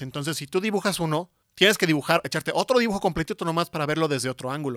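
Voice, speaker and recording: Someone talks at a very fast pace. The recording is very clean, with a silent background and a dry, close sound with no echo. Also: man. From Mexico, San Luis Potosí. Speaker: industrial design professor. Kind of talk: interview. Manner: halting, many fillers.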